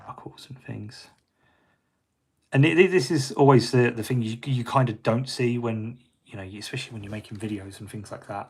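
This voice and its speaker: In a British accent, a man talks at a moderate pace and a medium pitch, somewhat breathy, with ordinary pitch variation. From Britain. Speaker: miniature painter. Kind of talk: live painting tutorial. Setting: livestream. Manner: casual, hesitant with fillers.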